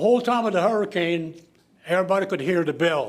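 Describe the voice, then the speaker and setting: A man with a high pitch and ordinary pitch variation in a south Louisiana accent, with audible room echo. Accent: south Louisiana Cajun English. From south Louisiana (Lafourche Parish). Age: 80s+. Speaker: public commenter at council meeting. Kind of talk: public comment at government meeting. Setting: council meeting chamber.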